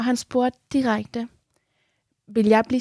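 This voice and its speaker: Dark and mellow in tone, a woman's somewhat breathy voice sounds dry and close, with no echo. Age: 20s. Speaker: radio host. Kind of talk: interview. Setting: studio.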